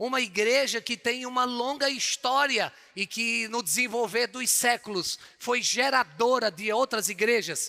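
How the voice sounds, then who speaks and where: A man speaks in a raised, projected voice at an extremely high pitch with a bright, sharp tone. His pace is fairly slow. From Northeast Brazil, João Pessoa, Paraíba. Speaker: pastor. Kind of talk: sermon. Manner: animated.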